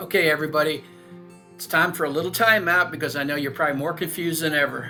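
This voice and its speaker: With music in the background, a man with an American accent talks at a fairly quick pace, his fairly high voice held to fairly even intonation. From Long Island, New York. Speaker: real estate agent. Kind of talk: informative talk to camera.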